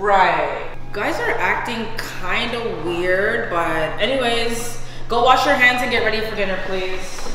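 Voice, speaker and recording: A woman talks fairly slowly amid noticeable background noise, her voice carrying audible room echo. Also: ordinary pitch variation. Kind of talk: scripted family skit dialogue. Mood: suspicious, scolding. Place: kitchen. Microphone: camera far.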